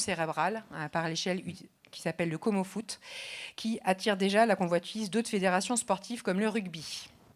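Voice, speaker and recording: Fairly quick speech from a woman at medium pitch with ordinary pitch variation, on a very clean recording with a silent background. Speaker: rehabilitation physician. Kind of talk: conference speech. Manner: fast.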